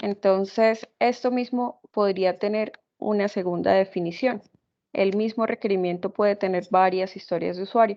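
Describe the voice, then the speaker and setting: In a normal speaking voice of medium pitch, a woman talks at a moderate pace with fairly even intonation. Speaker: programming instructor. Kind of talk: lecture.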